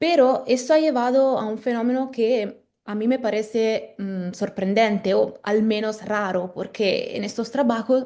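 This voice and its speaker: Speech with an Italian accent flows with hardly any pauses. The tone is dark and mellow, with ordinary pitch variation. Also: woman, fairly high pitch for a woman. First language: Italian (speaking Spanish). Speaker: legal philosopher, postdoctoral researcher. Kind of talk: academic lecture. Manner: halting, with hesitations and self-corrections.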